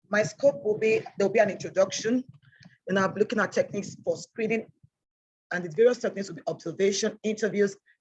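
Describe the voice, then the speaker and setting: A woman of medium pitch sounds somewhat breathy, her pitch varying in an ordinary way. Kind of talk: online training lecture. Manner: fast.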